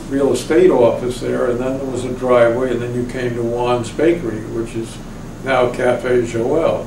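A man talks at a moderate pace in a medium pitch, with flat, monotone intonation. Noticeable background noise runs behind him. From Sayville, Long Island, New York. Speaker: oral history interviewee. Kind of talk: oral history interview answer.

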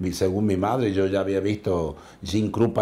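Very deep, low male speech in a dark, mellow tone. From Córdoba city, Argentina. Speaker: percussionist. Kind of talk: interview. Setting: studio. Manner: halting. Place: studio. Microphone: lapel.

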